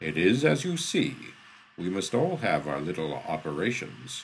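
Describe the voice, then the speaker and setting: A man uses a booming, put-on character voice pitched very deep and low. He keeps a moderate pace. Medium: read story. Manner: formal, archaic phrasing.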